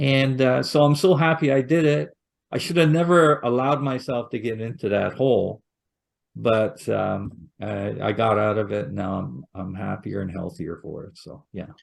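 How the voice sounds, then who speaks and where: This man talks at a moderate pace and medium pitch, his intonation lively and his loudness swinging widely. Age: 60s. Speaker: retirement author and speaker. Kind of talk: podcast interview. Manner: casual, with hesitations and repeats.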